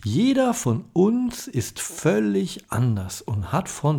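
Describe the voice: A raspy, dark, mellow voice with vocal fry, very wide pitch swings and a slow pace. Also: man.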